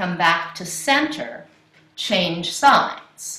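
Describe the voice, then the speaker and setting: A woman at a very slow pace, with audible room echo. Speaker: yoga instructor. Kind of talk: class instruction. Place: home room. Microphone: camera far.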